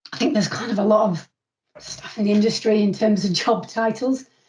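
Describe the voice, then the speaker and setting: The tone is dark and mellow, somewhat breathy. The speaker has a northern English accent. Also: woman. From northern England. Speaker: construction commercial manager. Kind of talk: interview. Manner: halting.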